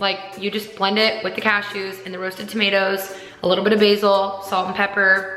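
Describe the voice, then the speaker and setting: Medium-pitched female speech, fairly brisk, set against noticeable noise and audible echo from the room. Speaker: lifestyle vlogger. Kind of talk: casual haul vlog. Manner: animated.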